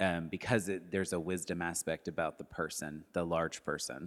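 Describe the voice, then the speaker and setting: With an American accent and a bright, sharp tone, a man speaks at a moderate pace in a very clean recording with a silent background. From Arkansas and Texas, US South. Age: 30s. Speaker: arts education director and former theater worker. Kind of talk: casual interview chat.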